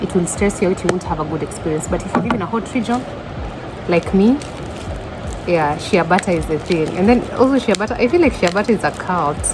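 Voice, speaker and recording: Against noticeable background noise, a woman speaks very fast with lively intonation. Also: medium pitch for a woman. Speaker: vlogger. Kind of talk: casual vlog. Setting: restaurant. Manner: loud.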